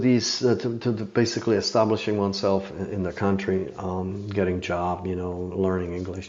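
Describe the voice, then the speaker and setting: Fairly low-pitched man with a Czech accent, moderate pace and fairly even intonation, in audible room echo. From Czechoslovakia. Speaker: master horse archer and bow maker. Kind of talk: podcast interview.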